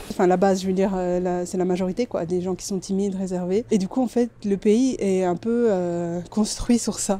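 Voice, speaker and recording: Here a woman with an unremarkable speaking voice, medium pitch and fairly even intonation speaks at a moderate pace. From Belgium. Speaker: UI designer and street photographer. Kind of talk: casual vlog talk to camera. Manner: casual, chatty.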